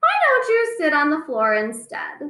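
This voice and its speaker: A woman puts on a character voice, pitched extremely high and swinging very widely up and down. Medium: read story.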